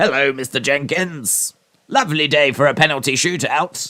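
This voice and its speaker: A man puts on a character voice, pitched fairly high. He speaks at a moderate pace. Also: ordinary pitch variation. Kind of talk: posh, formal, courteous. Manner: playful, exaggerated.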